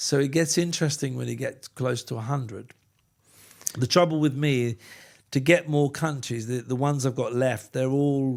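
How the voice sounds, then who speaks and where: On a very clean recording with a silent background, a man with an unremarkable speaking voice talks at a moderate pace in a medium pitch with fairly even intonation. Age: 60s. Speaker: cruise industry executive. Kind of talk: podcast interview.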